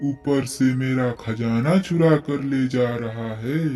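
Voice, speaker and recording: A man's cartoonish character voice at medium pitch, with faint music in the background. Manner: threatening.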